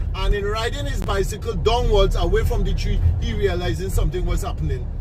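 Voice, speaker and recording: Talking at a very fast pace, a man with a Trinidadian accent is heard with audible room echo and noticeable background noise. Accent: Trinidadian Creole English. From Trinidad, Paramin village. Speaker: tour guide. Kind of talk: storytelling on a guided tour. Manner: animated.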